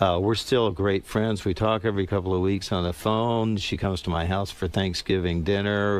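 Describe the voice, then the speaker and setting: At a moderate pace and with hardly any pauses, a man speaks in a normal speaking voice with an American accent. His pitch is fairly low, and his intonation is fairly even. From US South. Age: 60s. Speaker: musician. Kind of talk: interview.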